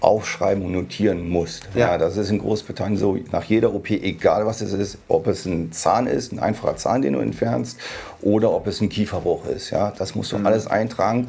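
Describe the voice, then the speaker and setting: A man with a normal speaking voice talks at a moderate pace, his fairly low pitch showing ordinary variation. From Germany, Hannover. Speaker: oral surgeon. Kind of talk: casual interview.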